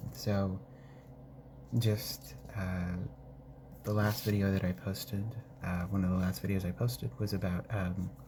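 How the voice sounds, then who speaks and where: Soft-spoken and very even in loudness, a man with a very deep, low pitch talks at a fairly slow pace, with ordinary pitch variation and long, frequent pauses. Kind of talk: casual talk to camera.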